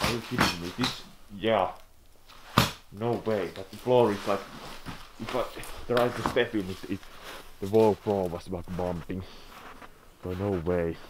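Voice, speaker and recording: Amid noticeable background noise, a man talks at a fairly slow pace with long, frequent pauses, his fairly low voice held to fairly even intonation. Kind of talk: casual vlog chat. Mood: curious, a bit wary. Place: empty room. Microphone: phone near.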